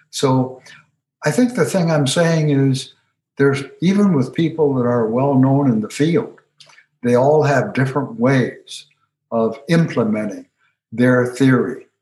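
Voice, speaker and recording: Speaking at a fairly slow pace with long, frequent pauses, a man uses a fairly high, somewhat breathy voice, with ordinary pitch variation and very even loudness. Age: 80s. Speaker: retired counseling professor and author. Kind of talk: interview conversation.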